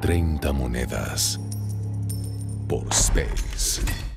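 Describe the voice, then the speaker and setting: A very slow pace over clear music in the background. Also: man, dry sound with no echo. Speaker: voice actor. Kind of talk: TV channel promo announcer. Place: booth. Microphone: studio mic.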